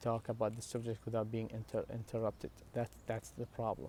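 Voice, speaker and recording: With an Iraqi accent, a man of medium pitch speaks in a dark, mellow tone at a moderate pace. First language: Arabic. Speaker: religious vlogger. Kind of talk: personal talk to camera. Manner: halting, many fillers and restarts.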